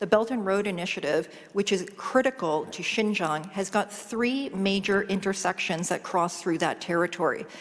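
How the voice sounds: A woman speaks at a medium pitch and a moderate pace. She pauses little and shows ordinary pitch variation.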